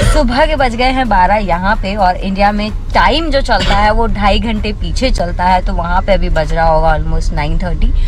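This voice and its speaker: Over noticeable background noise and audible room echo, a woman with a medium pitch speaks at a moderate pace with lively intonation and hardly any pauses. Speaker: travel vlogger. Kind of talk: travel vlog. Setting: outdoors, walking in streets.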